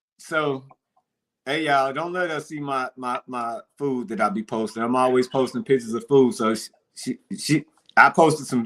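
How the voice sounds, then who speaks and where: In an American accent, a man speaks at a moderate pace and medium pitch, his animated tone and lively intonation captured in a dry, close sound with no echo. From East St. Louis, Illinois. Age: 40s. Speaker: lifestyle show host. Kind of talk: casual chat.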